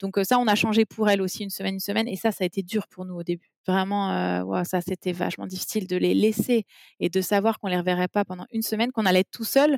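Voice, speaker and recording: On a dry, close recording with no echo, a woman talks at a very fast pace and a medium pitch. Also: fairly even intonation. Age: 30s. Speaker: mother and parenting blogger. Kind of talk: casual interview about personal life. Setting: remote call.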